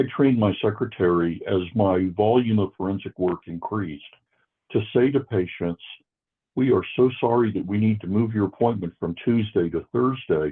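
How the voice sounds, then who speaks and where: This man has a plain, everyday voice and an American accent. He talks at a moderate pace with ordinary pitch variation. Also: fairly low pitch for a man. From US Northeast, Worcester, Massachusetts. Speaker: forensic psychiatrist. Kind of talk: interview.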